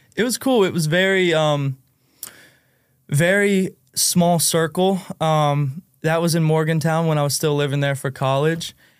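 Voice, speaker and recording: Using a plain, everyday voice, a man talks at a fairly slow pace with fairly high pitch, ordinary pitch variation and very even loudness, on a very clean recording with a silent background. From West Virginia, US. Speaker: singer and songwriter. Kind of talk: casual podcast interview. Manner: casual, laid-back.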